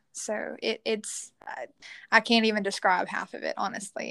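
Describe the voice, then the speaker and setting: A woman with a Southern US accent speaks at a moderate pace and medium pitch, her tone bright and sharp. Her intonation is fairly even, and the sound is dry and close with no echo against a quiet background. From Louisiana, US South. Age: 20s. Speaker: teacher and church youth leader. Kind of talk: casual interview chat.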